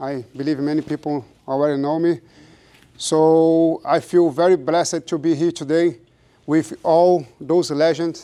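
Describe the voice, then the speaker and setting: On a very clean recording with a silent background, a man with a Brazilian accent speaks at a moderate pace, fairly high in pitch and dark and mellow in tone, with monotone, flat intonation. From Brazil, Rio de Janeiro. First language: Portuguese. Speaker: jiu-jitsu practitioner. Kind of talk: speech at ceremony. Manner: halting.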